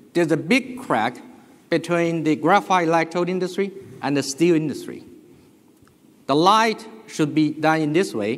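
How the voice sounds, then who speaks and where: A man with a Chinese accent and a high pitch speaks at a moderate pace with lively intonation and long, frequent pauses. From China. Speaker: business executive. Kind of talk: conference presentation. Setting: stage with audience.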